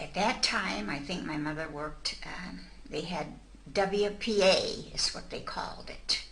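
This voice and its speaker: Speech comes at a fairly slow pace with an American accent and big swings in loudness. Noticeable background noise runs underneath. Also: woman. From Mansfield, Ohio, USA. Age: 80s+. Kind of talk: interview answer.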